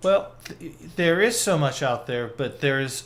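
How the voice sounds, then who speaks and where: A man talks in an ordinary speaking voice at a fairly high pitch. His pace is fairly slow and his intonation lively. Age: 60s. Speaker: photographer. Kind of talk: casual chat.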